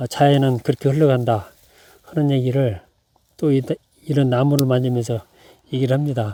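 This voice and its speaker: A man's calm, dark, mellow voice at a medium pitch and moderate pace, with fairly even intonation and long, frequent pauses. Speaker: pine tree gardener. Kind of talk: tutorial. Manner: calm, halting.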